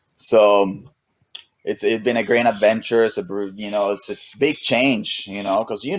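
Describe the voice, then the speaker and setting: Speaking fairly slowly, a man with a strong Mexican accent talks at medium pitch. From Mexico. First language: Spanish. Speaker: SUP racer and surfer. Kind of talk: casual chat. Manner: halting, many repetitions.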